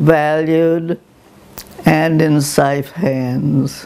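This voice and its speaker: A woman's very deep, low voice at a very slow pace, over noticeable background noise. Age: 90s. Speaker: ikebana teacher. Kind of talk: oral history interview. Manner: hesitant, reminiscing.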